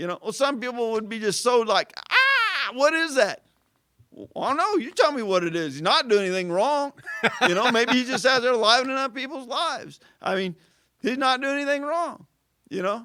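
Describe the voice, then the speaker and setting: An American-accented man uses a raised, projected voice at an extremely high pitch. His intonation is lively. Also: moderate pace. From southern Illinois, Carbondale. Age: 50s. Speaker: city employee. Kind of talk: casual interview. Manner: halting, many fillers and restarts.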